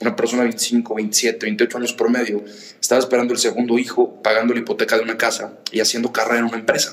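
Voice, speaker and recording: Against noticeable background noise, a man talks very fast at a medium pitch with fairly even intonation. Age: 20s. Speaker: young entrepreneur, social organization founder. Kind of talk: interview conversation.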